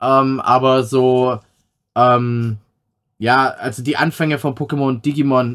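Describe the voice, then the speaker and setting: His pitch is fairly high. The voice belongs to a man. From Swabia, Stuttgart area, Germany. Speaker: podcast host and streamer. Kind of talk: casual chat.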